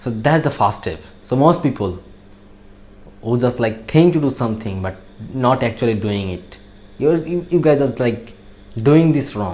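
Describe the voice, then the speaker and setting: A man with a Bangladeshi accent speaks at a moderate pace and medium pitch, his lively intonation broken by long, frequent pauses. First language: Bengali. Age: young. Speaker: natural bodybuilder. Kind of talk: motivational talk. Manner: halting.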